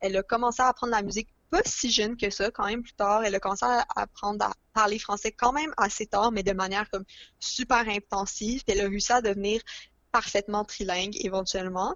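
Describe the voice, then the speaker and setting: A plain, everyday voice moves along at a fairly quick pace with fairly even intonation. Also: woman, medium pitch for a woman. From Montreal, Quebec. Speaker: podcast guest, book lover. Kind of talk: casual chat.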